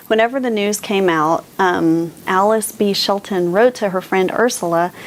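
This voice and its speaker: A woman talks at a fairly slow pace. There is noticeable background noise. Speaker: booktuber, book reviewer. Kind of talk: casual book discussion to camera. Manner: animated.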